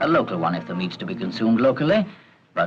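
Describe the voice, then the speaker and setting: The pitch swings very widely. There is noticeable background noise. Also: man. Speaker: narrator. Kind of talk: documentary narration.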